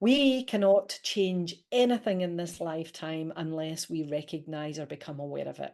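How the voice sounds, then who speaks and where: Speaking at a moderate pace with a Scottish accent, a woman has a fairly low pitch and a dark, mellow tone against a quiet background. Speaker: leadership coach and author. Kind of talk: interview.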